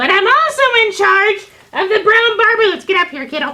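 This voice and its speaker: In a put-on character voice at an extremely high pitch, someone shouts at a moderate pace. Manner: shouting, indignant.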